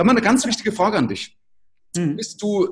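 Against a quiet background, a man is speaking. His pace is fairly quick. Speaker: podcast host. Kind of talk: interview conversation. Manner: talkative. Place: home room.

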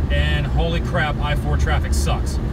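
A man's dry-sounding voice, with no echo, competes with loud background noise. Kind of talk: casual vlog chat. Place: car. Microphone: phone near.

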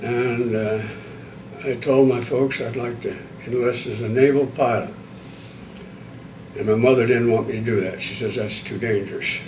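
The delivery moves at a moderate pace in a monotone, flat intonation with long, frequent pauses. Light background noise sits underneath. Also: man. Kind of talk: interview answer. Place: meeting room.

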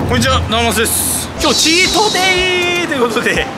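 A man speaks at a fairly quick pace through loud background noise. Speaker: eating challenge vlogger. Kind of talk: casual vlog chat. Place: street.

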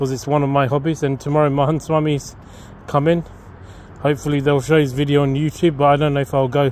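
The sound is dry, with no echo and light background noise. A man talks very fast in a monotone, flat intonation. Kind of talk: casual vlog chat. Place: garden. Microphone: phone near.

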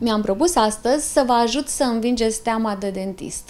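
Moderate pace with ordinary pitch variation. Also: woman. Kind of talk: interview answer. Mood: calm, reassuring. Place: office.

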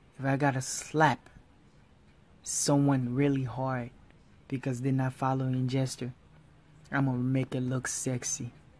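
In a very deep, low voice, a woman speaks at a fairly slow pace with monotone, flat intonation and long, frequent pauses. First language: not English, speaks several languages. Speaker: art tutorial YouTuber. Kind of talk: tutorial. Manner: informal, halting, repeats himself.

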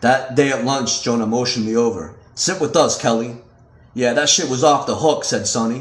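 The reading voice is unforced. Text is read out just as written.

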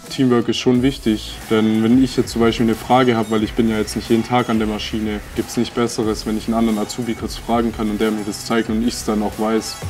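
Music plays in the background as a man speaks at a medium pitch. His pace is very fast with hardly any pauses, and his intonation monotone and flat. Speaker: apprentice mechatronics technician. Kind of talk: interview testimony.

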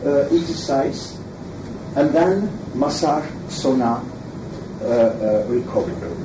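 A man with a French accent, very slow delivery, and very wide pitch swings, amid noticeable background noise. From Switzerland (French-speaking). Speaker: throws coach. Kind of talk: lecture. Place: meeting room. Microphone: camera far.

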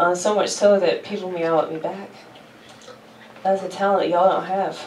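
Amid audible room echo, a woman with a fairly low pitch and slightly mellow tone speaks at a moderate pace with fairly even intonation.

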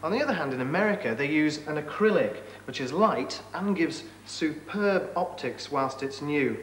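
An upbeat man with a British accent talks at a fairly high pitch with very wide pitch swings, with audible room echo and light background noise. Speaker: tv science presenter. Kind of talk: 1980s tv science presenter narration, demo. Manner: jokey, upbeat, conversational. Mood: light, humorous, upbeat.

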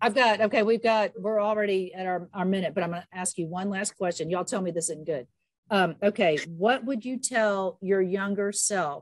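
A woman at a moderate pace with ordinary pitch variation, in a quiet background with dry sound and no echo. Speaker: podcast host. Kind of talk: casual chat. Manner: animated. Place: home room. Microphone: video call.

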